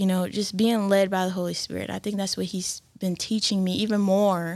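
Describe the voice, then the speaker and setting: A woman talks in an ordinary speaking voice at a medium pitch and moderate pace. The recording is very clean, with a silent background. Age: 20s. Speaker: church worship singer. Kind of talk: casual chat.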